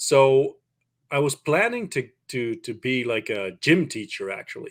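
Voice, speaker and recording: In a very clean recording with a silent background, the voice moves at a fairly slow pace with lively intonation. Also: man, fairly high pitch for a man. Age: 30s. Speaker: online business teacher. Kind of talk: podcast interview. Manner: halting, many repeated words.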